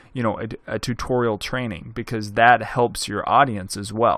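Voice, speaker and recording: A man talks at a fairly slow pace in a Southern US accent, his pitch sitting in the medium range. The recording is very clean, with a silent background. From Arkansas, US South. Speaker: video production instructor. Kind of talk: tutorial. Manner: casual, conversational with many fillers.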